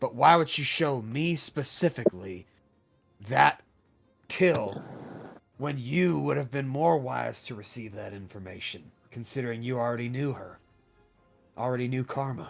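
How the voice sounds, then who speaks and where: Over faint music in the background, a man does a raspy put-on character voice at medium pitch with long, frequent pauses. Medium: actual play.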